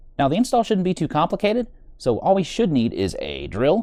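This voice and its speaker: A man speaks very fast in an American accent. The background is quiet. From United States. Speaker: motorcycle vlogger. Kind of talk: tutorial. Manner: casual.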